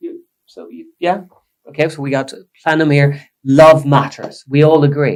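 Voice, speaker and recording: A man with a Swedish accent and a fairly high voice speaks at a moderate pace in a flat monotone. His loudness swings widely, and he leaves long, frequent pauses. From Sweden. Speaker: psychotherapist. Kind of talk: casual chat. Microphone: poor recording quality, quiet.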